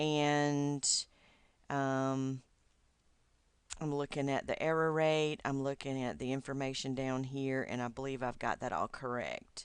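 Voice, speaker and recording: Against a quiet background, a woman with a Southern US accent speaks in a very deep, low pitch with monotone, flat intonation and long, frequent pauses. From US South, Georgia. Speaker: doctoral student. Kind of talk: recorded video message to advisor. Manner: hesitant, many fillers.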